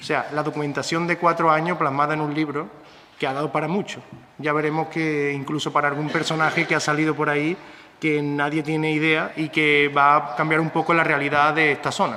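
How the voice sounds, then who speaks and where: A man talks at a fairly quick pace in a fairly high, monotone, flat voice. Noticeable background noise is present. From Andalusia, Spain (Córdoba/Seville area). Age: 30s. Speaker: novelist and schoolteacher. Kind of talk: book presentation talk.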